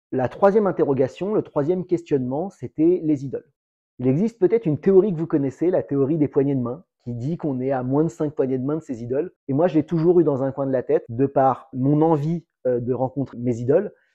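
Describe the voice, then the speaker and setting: The man's voice is fairly high, with ordinary pitch variation. He moves at a fairly quick pace. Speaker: real estate agent. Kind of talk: vlog monologue. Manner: loud.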